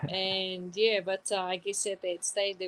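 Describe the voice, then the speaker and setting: The woman's voice has a medium pitch and moves at a moderate pace. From New Zealand, Southland (Mataura), Māori. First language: te reo Māori. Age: 30s. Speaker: journalist. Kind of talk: interview.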